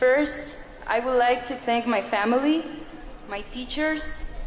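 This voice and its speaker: A woman speaks at a high pitch and a fairly slow pace. Noticeable background noise and audible room echo fill the recording. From Mexico. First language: Spanish. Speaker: adult school graduate. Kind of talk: graduation speech.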